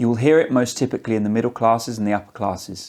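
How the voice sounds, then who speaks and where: The recording is very clean with a silent background. A man with a British accent speaks in a fairly low pitch. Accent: regional UK accent, flat tone. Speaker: singing teacher. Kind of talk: tutorial.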